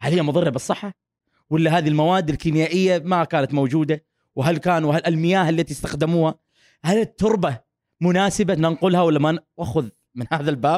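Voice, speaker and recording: An animated man at a moderate pace, with ordinary pitch variation and very even loudness, in a dry, close sound with no echo on a very clean recording with a silent background. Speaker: academic researcher on feminism. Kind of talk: casual interview chat.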